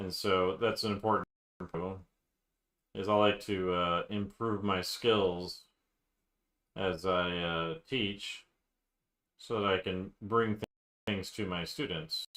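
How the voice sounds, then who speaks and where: A man's fairly low voice with a bright, sharp tone and fairly even intonation, at a very slow pace with long, frequent pauses, on a very clean recording with a silent background. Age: 40s. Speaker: art teacher drawing on stream. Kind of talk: casual live-stream chat while drawing. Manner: slowed down, deliberate pace; halting, many fillers.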